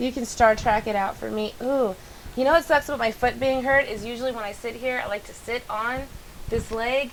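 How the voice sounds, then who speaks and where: Talking at a fairly quick pace, a woman with a high voice is heard over noticeable background noise. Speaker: live streamer, co-host. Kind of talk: casual chat. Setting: live stream. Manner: stutters when excited, fast.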